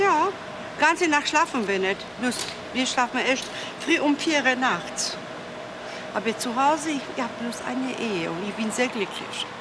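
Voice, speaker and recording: A woman's high voice, fairly slow with long, frequent pauses and very wide pitch swings, amid noticeable background noise. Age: 60s. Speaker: customer. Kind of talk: casual chat.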